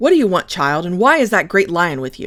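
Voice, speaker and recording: Growling and female-sounding, this put-on character voice sits at a medium pitch for a woman and moves at a fairly quick pace, recorded very cleanly over a silent background. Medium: read story. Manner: wary, careful.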